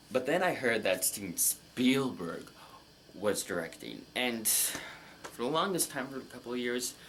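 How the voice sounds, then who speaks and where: Over noticeable background noise, a man with a medium pitch talks at a fairly slow pace with lively intonation. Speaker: movie reaction youtuber. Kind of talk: casual monologue, movie review. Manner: halting.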